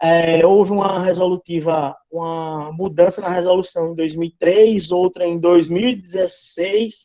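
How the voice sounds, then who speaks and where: A man's high-pitched, dark, mellow voice, monotone and flat, at a moderate pace. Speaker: veterinary lecturer. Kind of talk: online lecture. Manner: halting.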